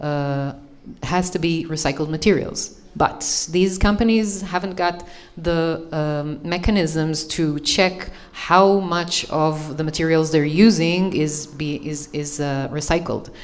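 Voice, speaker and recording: Amid noticeable background noise and audible room echo, a woman speaks very slowly with an Israeli accent, her pitch very deep and low and her intonation fairly even. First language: Hebrew. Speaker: panelist on green building. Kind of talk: panel discussion. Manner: halting, many fillers.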